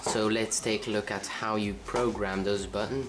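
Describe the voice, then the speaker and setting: Over music in the background and audible room echo, a man with a fairly low pitch speaks fairly slowly in a flat, monotone way. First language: Dutch. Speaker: tech reviewer. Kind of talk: product review. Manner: halting.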